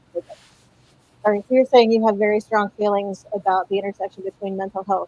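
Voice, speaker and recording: A woman speaks at a medium pitch in a flat monotone, the sound dry and close with no echo. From Louisiana. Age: 40s. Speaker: content creator. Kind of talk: casual chat. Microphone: internet connection cut out.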